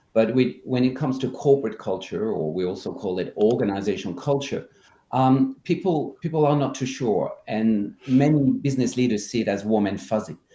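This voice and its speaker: A man's medium-pitched voice with a dark, mellow tone, lively intonation and a fairly quick pace. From France. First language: French. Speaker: culture consultant. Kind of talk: interview.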